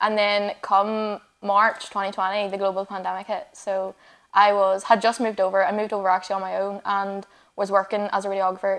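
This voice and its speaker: A woman with a strong Northern Irish accent talks at a fairly quick pace and medium pitch, her intonation monotone and flat. The recording is very clean, with a silent background. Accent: Northern Irish, still strong. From Northern Ireland, Fermanagh. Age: 20s. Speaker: radiographer and online fitness coach. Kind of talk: casual interview chat. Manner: fast.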